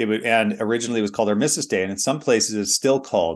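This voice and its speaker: With a normal speaking voice, a man with an American accent talks at medium pitch with ordinary pitch variation against a quiet background. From United States. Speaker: pastor. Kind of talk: sermon.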